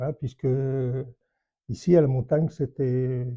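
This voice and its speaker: Very slow in pace, a man talks in a dark, mellow tone. His voice is somewhat breathy. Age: 80s+. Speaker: retired army general. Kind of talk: life story interview. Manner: halting, many hesitations.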